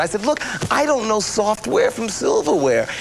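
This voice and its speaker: A man against noticeable background noise. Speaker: actor, infomercial host. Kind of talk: infomercial host talk to camera. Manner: casual, self-deprecating, hesitant.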